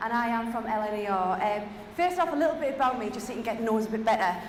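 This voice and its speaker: A woman with a Geordie accent speaks in a fairly high, animated voice with very wide pitch swings, against noticeable background noise and audible room echo. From Newcastle, northeast England. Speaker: keynote speaker, head of innovation. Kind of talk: keynote talk. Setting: stage with audience.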